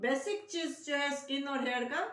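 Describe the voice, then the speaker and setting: The speaker is a woman. Her pitch is high. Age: 70s. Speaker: Ayurvedic beauty consultant. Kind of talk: tutorial.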